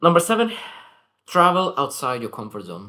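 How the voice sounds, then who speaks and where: With a non-native accent, this man shows very wide pitch swings. His voice has vocal fry. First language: not English. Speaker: self-improvement vlogger. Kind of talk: daily reflection monologue. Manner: halting, self-correcting.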